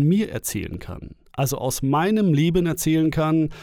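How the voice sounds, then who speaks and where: On a very clean recording with a silent background, a man with a fairly high pitch speaks very slowly with lively intonation. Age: 30s. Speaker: dating coach and podcast host. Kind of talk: solo podcast monologue. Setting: home recording. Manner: casual, filler-heavy.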